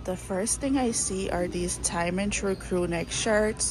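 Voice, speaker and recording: Amid noticeable background noise, a woman talks at a moderate pace with fairly even intonation. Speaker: fashion vlogger. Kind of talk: casual shopping vlog narration. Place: shop. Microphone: phone near.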